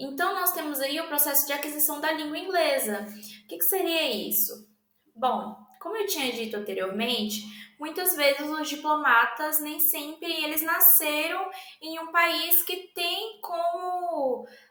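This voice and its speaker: A raised, projected voice carries audible room echo. It moves at a fairly slow pace with lively intonation. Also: woman, high pitch for a woman. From Brazil. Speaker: language student presenter. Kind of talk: educational presentation. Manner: halting, many fillers.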